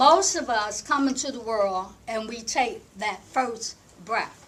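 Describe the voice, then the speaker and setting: Her intonation rises and falls in a lively way. The room adds audible echo around the woman's voice. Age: 60s. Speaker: breathing coach and panelist. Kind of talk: panel talk. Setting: conference workshop with audience. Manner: halting, many filler words.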